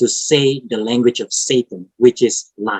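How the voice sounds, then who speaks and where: The speaker has an Indonesian accent and talks at a fairly slow pace. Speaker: preacher. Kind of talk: sermon.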